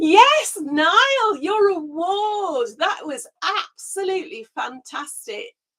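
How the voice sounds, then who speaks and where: A woman puts on a squeaky character voice at an extremely high pitch, with very wide pitch swings. She speaks at a very slow pace with hardly any pauses. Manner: mouse-like squeak.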